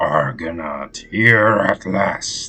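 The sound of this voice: Over faint background music, a man does a put-on character voice that is raspy and growling, very deep and low in pitch, with lively intonation.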